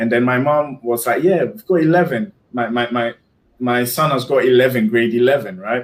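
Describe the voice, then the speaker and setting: Speaking in a Ghanaian accent, a man holds a medium pitch and moderate pace with ordinary pitch variation. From Ghana, Kumasi area. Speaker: guest on a live stream, YouTuber. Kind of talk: casual interview chat. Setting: live stream video call. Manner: halting, repeats words.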